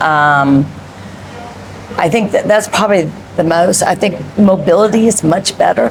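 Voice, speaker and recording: Over noticeable background noise, a woman speaks with very even loudness, long, frequent pauses, medium pitch and ordinary pitch variation. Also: fairly slow pace. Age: 50s. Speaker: interviewee on fitness. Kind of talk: interview. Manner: hesitant, many ums.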